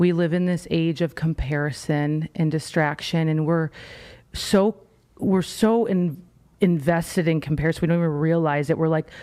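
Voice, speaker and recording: A woman with a fairly low pitch and a dark, mellow tone speaks at a moderate pace with very even loudness, recorded very cleanly against a silent background. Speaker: personal branding coach. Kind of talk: casual chat. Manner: animated.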